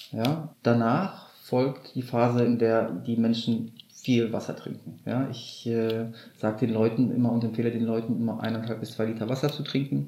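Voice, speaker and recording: Noticeable background noise beneath a man's voice, its pitch varying in an ordinary way. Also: medium pitch for a man, moderate pace. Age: 30s. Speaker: kambo ceremony practitioner. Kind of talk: interview.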